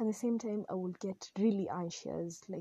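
The voice is somewhat breathy with a dark, mellow tone, moving at a moderate pace with fairly even intonation in a dry, close sound with no echo. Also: woman. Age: 20s. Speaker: podcast host, mental health advocate. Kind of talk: personal testimony.

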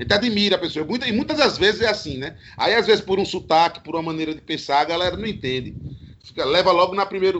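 Talking at a very fast pace, a high-pitched man uses lively intonation. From Garanhuns, Pernambuco, Brazil. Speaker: DJ and singer. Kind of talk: casual chat. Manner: animated.

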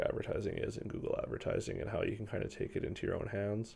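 A man talks very fast with a Western Canadian accent. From Canada, Victoria, British Columbia. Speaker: music artist manager. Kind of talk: interview conversation. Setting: studio.

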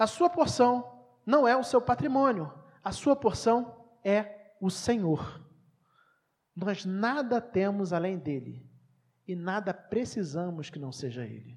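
Speaking at a very slow pace, a woman with a medium pitch makes very wide pitch swings and big swings in loudness. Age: 30s. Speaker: pastor. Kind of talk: sermon.

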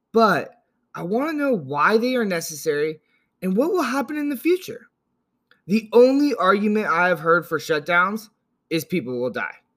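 A man's high-pitched voice with very wide pitch swings, at a moderate pace, in a very clean recording with a silent background. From Northern California, US. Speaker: political podcast host. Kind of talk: solo podcast monologue.

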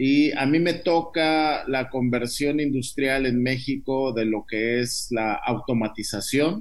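A man at a very slow pace, fairly high pitch and ordinary pitch variation, with audible room echo. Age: 50s. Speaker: biotech entrepreneur. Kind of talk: interview.

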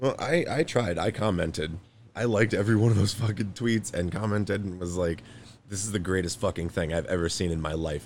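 Using ordinary pitch variation, a man with a fairly low pitch talks at a fairly quick pace. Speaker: podcast host. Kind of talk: casual comedic chat.

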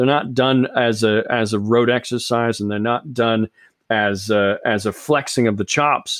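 The man's medium-pitched delivery has fairly even intonation and a plain, everyday voice. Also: fairly slow pace. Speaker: podcast host. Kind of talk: casual chat.

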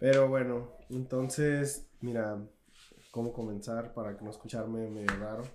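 A man with a Mexican accent speaks at a medium pitch in a monotone, flat intonation, his loudness swinging widely amid audible room echo. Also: fairly slow pace. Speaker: podcast co-host. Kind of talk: casual chat.

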